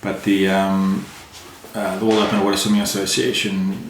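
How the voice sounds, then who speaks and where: A man with an American accent talks at a moderate pace. Audible room echo and noticeable background noise come through. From South Africa. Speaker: extreme endurance swimmer. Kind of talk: podcast interview. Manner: casual, hesitant with many fillers.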